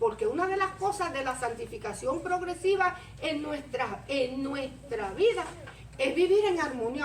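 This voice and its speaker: A woman talks in an animated tone with very wide pitch swings. Room echo is audible. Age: 60s. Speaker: preacher. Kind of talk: sermon.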